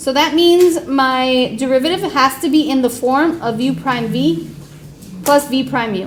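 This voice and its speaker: Amid audible room echo and noticeable background noise, a woman with a high-pitched voice speaks at a fairly slow pace with lively intonation. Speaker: high school math teacher. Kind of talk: classroom lecture. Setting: classroom with students.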